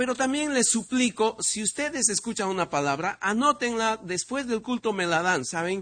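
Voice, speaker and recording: A man with a high pitch and a bright, sharp tone talks at a moderate pace with hardly any pauses and lively intonation. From Peru. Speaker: visiting preacher. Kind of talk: sermon.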